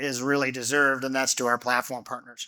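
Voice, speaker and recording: A loud man's voice, bright and sharp in tone, at a very fast pace. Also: very clean recording, silent background. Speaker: company executive presenting to investors. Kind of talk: investor seminar presentation. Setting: stage with audience, on a microphone.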